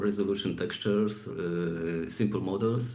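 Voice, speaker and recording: A man with a fairly low voice talks at a moderate pace, with audible room echo and noticeable background noise. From Poland. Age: 40s. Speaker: 3D artist. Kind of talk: interview. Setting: live stream. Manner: halting.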